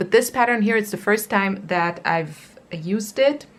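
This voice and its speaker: A woman with a non-native accent, at a fairly slow pace. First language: not English. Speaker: crochet youtuber. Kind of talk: casual show-and-tell tutorial. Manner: casual, with many fillers.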